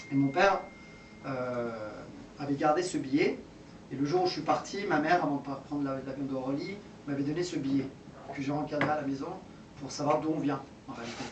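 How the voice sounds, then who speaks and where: Fairly quick speech broken by long, frequent pauses, delivered with fairly even intonation over noticeable background noise and audible room echo. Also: man, fairly high pitch for a man. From France, Iranian family. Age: 40s. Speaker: local politician. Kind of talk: public speech. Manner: halting.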